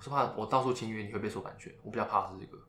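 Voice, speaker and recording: A man talks at a very fast pace, and the room adds an audible echo. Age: 20s. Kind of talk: casual chat. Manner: halting, many fillers.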